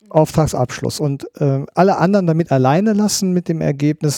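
A man talks with a dark, mellow tone and ordinary pitch variation. The recording is very clean, with a silent background and a dry, close sound with no echo. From Rhineland, Germany. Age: 50s. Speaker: police criminal profiler. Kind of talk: interview.

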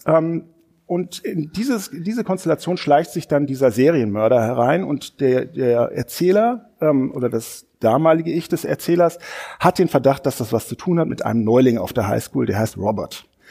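With a dark, mellow tone and lively intonation, a man talks at a moderate pace in a fairly high pitch. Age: 40s. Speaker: newspaper culture editor and podcast host. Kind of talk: casual book discussion. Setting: studio at a literature house.

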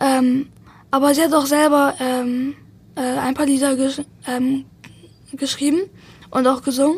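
A woman with a high-pitched voice. She speaks in a flat monotone. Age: young, 18. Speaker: best friend of the deceased. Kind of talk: interview. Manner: halting, many fillers and repetitions.

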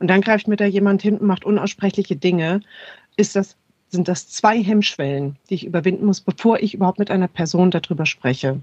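In a dry, close sound with no echo, a woman speaks at a fairly quick pace in a normal speaking voice, with medium pitch and ordinary pitch variation. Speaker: sex therapist and cultural scientist. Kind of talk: expert interview.

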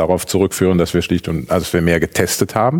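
A man's very deep, low voice at a very fast pace, with noticeable background noise. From Aachen. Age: 40s. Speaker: politician, mayoral candidate. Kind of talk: panel debate.

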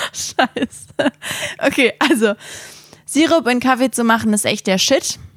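An animated, fairly slow delivery with ordinary pitch variation and long, frequent pauses, in a dry, close sound with no echo and noticeable background noise. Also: woman, high pitch for a woman. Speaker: podcast co-host. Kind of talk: casual chat. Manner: animated, laughing often.

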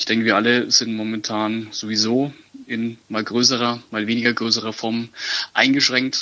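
A man talks at medium pitch with fairly even intonation. Noticeable background noise is present. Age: 20s. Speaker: football ultra fan, community initiative organiser. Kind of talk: interview. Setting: phone call. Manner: halting, many fillers.

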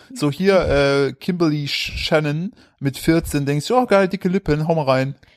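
Using a plain, everyday voice, a man speaks at a fairly slow pace with fairly high pitch and ordinary pitch variation. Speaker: podcast host. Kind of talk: casual chat.

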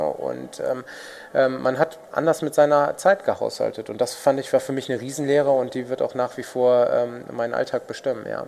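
Speech comes at a fairly quick pace over noticeable background noise. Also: man. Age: 30s. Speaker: food startup executive. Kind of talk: interview.

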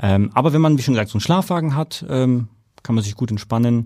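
Speaking with a slight Franconian accent, a man uses a dark, mellow tone at a moderate pace with ordinary pitch variation. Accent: slight Franconian, rolled R. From Germany, Nuremberg (Franconia). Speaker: airport operations manager. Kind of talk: interview. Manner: halting, many fillers.

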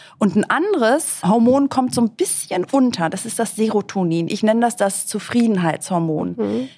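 At a moderate pace, a woman speaks with lively intonation in a somewhat breathy voice. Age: 50s. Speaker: author and TV presenter. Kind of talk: casual interview.

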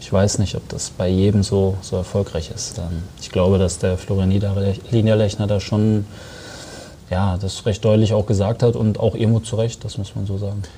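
Flat, monotone male voice at a fairly low pitch over noticeable background noise. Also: moderate pace. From Germany, Sauerland (Arnsberg). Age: 20s. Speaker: professional footballer. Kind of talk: interview.

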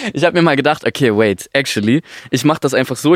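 A man talks at a very fast pace with lively intonation and a fairly high pitch. The sound is dry and close, with no echo. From Stuttgart area, Germany. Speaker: singer-songwriter. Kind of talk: casual chat. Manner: halting.

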